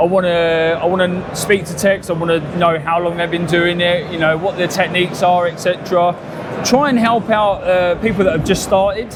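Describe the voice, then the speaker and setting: Speaking at a moderate pace, this man has a high voice and fairly even intonation, with audible room echo and noticeable background noise. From southern England, south coast near Brighton. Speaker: PDR technician. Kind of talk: casual interview. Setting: live at a trade expo.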